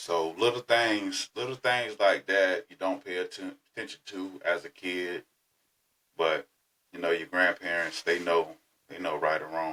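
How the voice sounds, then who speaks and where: In a Southern US accent, a man speaks at a very deep, low pitch with a bright, sharp tone. His loudness swings widely, and his pitch variation is ordinary. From Florida. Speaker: podcast host. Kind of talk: personal storytelling. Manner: casual.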